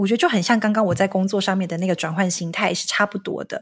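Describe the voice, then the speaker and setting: A woman with a medium pitch sounds somewhat breathy in a very clean recording with a silent background. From Taiwan. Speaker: marketing executive and entrepreneur. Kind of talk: interview.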